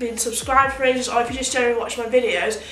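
A high-pitched female voice with light background noise and audible room echo. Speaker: beauty vlogger. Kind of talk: casual vlog chat. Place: home room. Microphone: phone near.

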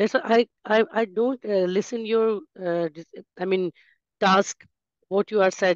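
With a Pakistani accent, a woman speaks at medium pitch and a fairly slow pace, with fairly even intonation and long, frequent pauses, in dry, close sound with no echo. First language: Urdu. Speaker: student. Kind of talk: speaking practice. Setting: video call. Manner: halting.

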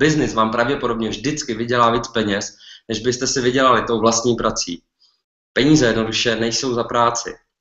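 With a quiet background but audible room echo, a man speaks at a moderate pace with fairly even intonation. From Czech Republic. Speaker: entrepreneur, clothing business owner. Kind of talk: webinar talk. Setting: online webinar. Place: home room. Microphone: webcam.

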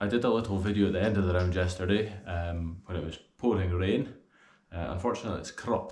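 Speaking very fast with a Scottish accent, a man uses a fairly low, somewhat breathy voice and fairly even intonation, with audible room echo around him. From Scotland. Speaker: golf gear reviewer. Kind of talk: video review. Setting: outdoors. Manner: casual. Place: home room.

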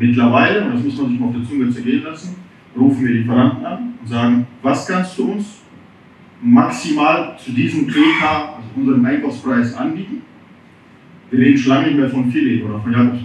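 A man talks at a fairly quick pace with ordinary pitch variation and big swings in loudness, leaving long, frequent pauses. Room echo is audible, and light background noise sits underneath. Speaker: restaurant owner; restaurant owner in panel discussion. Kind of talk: audience contribution. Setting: audience with microphone. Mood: earnest, concerned. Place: bar.

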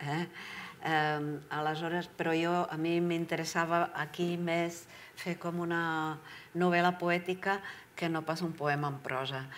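A woman in a Czech accent speaks very slowly in a fairly low pitch with monotone, flat intonation, over light background noise. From Czech Republic, Prague; Czech Republic. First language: Czech (speaking Catalan). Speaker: writer and translator; guest. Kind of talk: public talk at library book club. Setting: library event with audience. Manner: halting. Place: hall.

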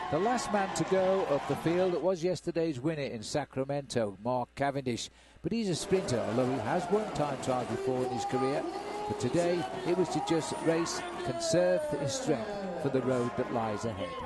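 Noticeable background noise surrounds a man speaking fairly high for a man, at a moderate pace and with lively intonation. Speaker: cycling commentator. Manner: fluent, brisk, informative play-by-play, with occasional 'uh' fillers.

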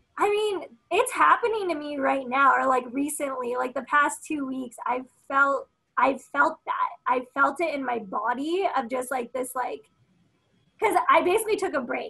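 A woman's raised, projected voice with an American accent, high in pitch, bright and sharp in tone, lively in intonation, at a moderate pace over a quiet background. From United States, Filipino American. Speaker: environmental activist and media host. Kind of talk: casual chat. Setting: video call. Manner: casual, filler-heavy. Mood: reflective, earnest. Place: home room. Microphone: webcam.

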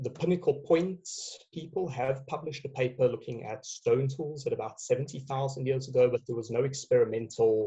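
A man talks at a fairly quick pace in a somewhat breathy voice with ordinary pitch variation. The background is quiet. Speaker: guest. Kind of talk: interview answer. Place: home room. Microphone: headset.

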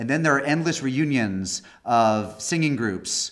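Against a quiet background, a man talks at a moderate pace. His pitch varies in an ordinary way. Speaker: guest lecturer. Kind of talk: lecture. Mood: warm, joking opening remarks. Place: hall. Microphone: podium.

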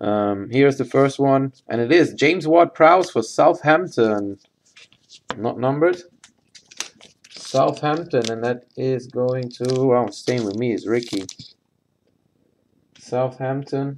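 A man at a medium pitch talks at a slow pace, with ordinary pitch variation and long, frequent pauses.

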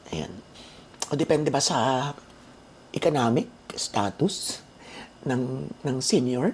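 A woman talks at a very slow pace in a very deep, low voice. Her intonation is lively, broken by long, frequent pauses. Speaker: vlogger. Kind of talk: casual vlog talk. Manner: animated.

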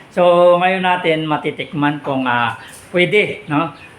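Fairly slow speech from a man amid noticeable background noise. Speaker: vlogger. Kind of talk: cooking vlog. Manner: halting, many fillers.

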